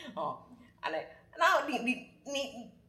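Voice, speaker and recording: A woman speaks at a moderate pace with very wide pitch swings, with audible room echo and noticeable background noise. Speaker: astrology guest sharing a friend's chart. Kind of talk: casual storytelling chat.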